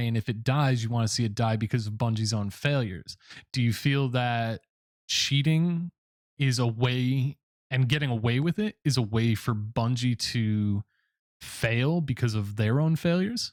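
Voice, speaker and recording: In a plain, everyday voice, a man talks at medium pitch and a moderate pace with ordinary pitch variation. His loudness stays very even, and the sound is dry and close with no echo. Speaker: YouTube gamer and interviewer. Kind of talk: interview question.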